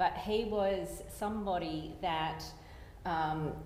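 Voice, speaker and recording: This is a woman's voice. She speaks with an Australian accent. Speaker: engineer. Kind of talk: panel discussion.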